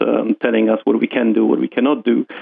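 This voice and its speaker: At a fairly quick pace, a man speaks with a Polish accent. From Poland. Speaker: investment fund manager. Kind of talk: interview.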